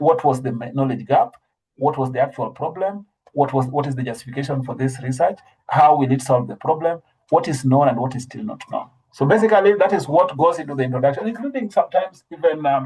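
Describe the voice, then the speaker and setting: At a very fast pace, a man's somewhat breathy voice carries a dark, mellow tone and ordinary pitch variation. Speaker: trainer in scientific writing. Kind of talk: online training lecture. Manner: hesitant, many fillers and restarts.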